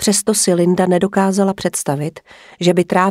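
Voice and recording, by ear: A natural-sounding voice reads the passage aloud.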